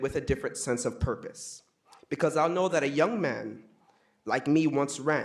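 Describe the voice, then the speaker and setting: Pitched fairly high with ordinary pitch variation, the man has an ordinary speaking voice. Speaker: student speaking at public comment. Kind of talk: public comment speech. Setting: city council meeting. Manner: formal.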